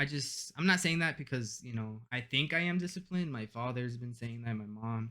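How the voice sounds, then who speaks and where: A man with a Spanish accent talks fairly quickly at medium pitch, with hardly any pauses, lively intonation and a bright, sharp tone. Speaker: university student, gamer. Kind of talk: casual chat. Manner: halting.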